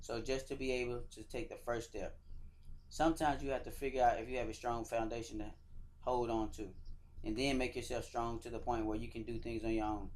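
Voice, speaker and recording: Room echo is audible as a man speaks at a fairly quick pace with a Georgia accent. His medium-pitched voice has a monotone, flat intonation. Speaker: soldier and motivational speaker. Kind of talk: motivational speech.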